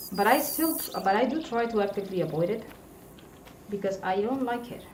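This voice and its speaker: Fairly quick speech with a non-native accent and lively intonation, plus noticeable background noise and audible room echo. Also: woman, fairly high pitch for a woman. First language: not English. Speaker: gaming streamer. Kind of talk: casual live stream commentary while gaming. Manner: hesitant, with frequent fillers and restarts.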